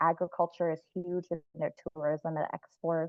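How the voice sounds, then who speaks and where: A woman with an American accent, fairly low in pitch, fairly slow, with monotone, flat intonation. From US, Central Florida. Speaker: farm worker speaking at a workshop. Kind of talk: personal talk at online workshop.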